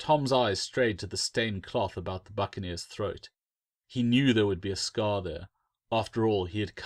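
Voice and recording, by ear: Against a quiet background, someone reads aloud in a natural voice with ordinary pitch variation.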